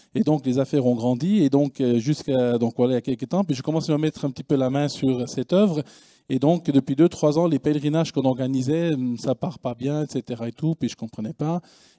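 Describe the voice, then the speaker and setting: A man's dark, mellow, fairly high-pitched voice, fairly quick in pace, with ordinary pitch variation. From Switzerland. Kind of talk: conference talk. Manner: hesitant, many fillers.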